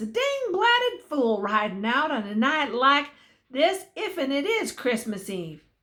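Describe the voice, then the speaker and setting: A woman puts on a gruff character voice with a Western US accent, pitched high. She speaks at a fairly slow pace with very wide pitch swings. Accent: rural Western drawl. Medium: read story. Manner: gruff, cackling.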